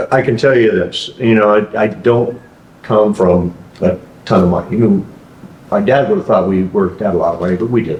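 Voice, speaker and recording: Noticeable background noise under a man's fairly low voice, moderate in pace with ordinary pitch variation. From Alaska. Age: 60s. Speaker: franchise owner. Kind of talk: interview. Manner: halting.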